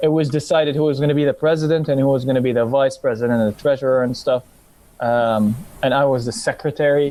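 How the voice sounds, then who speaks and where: Speaking very fast in an American accent, a man with a fairly high pitch and a dark, mellow tone keeps his loudness very even and his intonation fairly even. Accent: picked-up American accent, passable. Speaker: former anime club secretary. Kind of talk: casual podcast chat.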